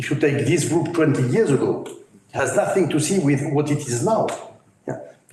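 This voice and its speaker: This man's voice sits fairly high, with ordinary pitch variation. Audible room echo surrounds it. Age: 60s. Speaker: business professional. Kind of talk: roundtable discussion. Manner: halting.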